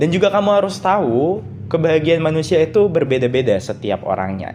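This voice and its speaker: With music in the background, a man talks at a fairly quick clip, his fairly high voice making very wide pitch swings. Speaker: solo podcaster. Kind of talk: solo podcast monologue. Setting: recording at night. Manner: casual, conversational.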